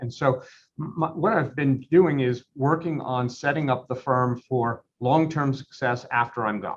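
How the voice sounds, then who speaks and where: A somewhat breathy voice at a moderate pace, with hardly any pauses. The intonation stays fairly even. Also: man. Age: 60s. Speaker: law firm owner. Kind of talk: interview.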